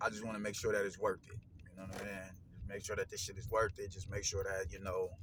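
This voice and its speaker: This man's pitch is fairly low. He speaks at a very fast pace. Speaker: boxing commentator vlogger. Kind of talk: casual monologue. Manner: animated.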